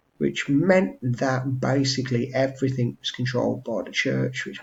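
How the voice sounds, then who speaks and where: In an English accent, a man speaks quietly at a fairly quick pace. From England. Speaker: history teacher. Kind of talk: revision tutorial. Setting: at home. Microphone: webcam.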